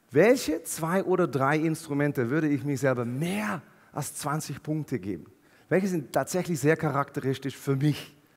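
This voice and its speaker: A man with a fairly high pitch talks at a moderate pace in an ordinary speaking voice, his pitch varying in an ordinary way. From Netherlands. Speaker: keynote speaker. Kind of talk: motivational keynote talk. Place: stage. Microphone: headset.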